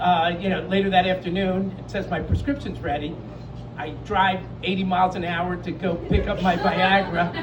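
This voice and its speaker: A man's high voice with ordinary pitch variation at a moderate pace, plus audible room echo and noticeable background noise. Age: 60s. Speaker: comedian. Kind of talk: stand-up. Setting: stage with audience. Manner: halting.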